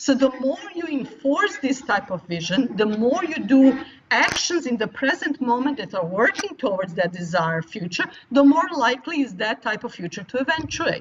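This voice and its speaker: A woman with a non-native accent talks at a high pitch and moderate pace, her pitch swinging very widely over noticeable background noise. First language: not English. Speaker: futures studies professor. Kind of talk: interview.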